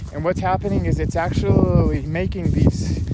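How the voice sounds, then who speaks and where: This is a man speaking. Noticeable background noise can be heard behind him. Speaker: environmental consultant. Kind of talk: walkthrough video monologue. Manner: fast; animated.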